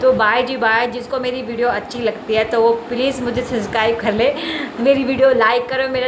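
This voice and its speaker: A woman's high, monotone, flat voice amid noticeable background noise and audible room echo. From Chandigarh, India. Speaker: vlogger. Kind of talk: casual vlog talk to camera. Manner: chatty, repetitive.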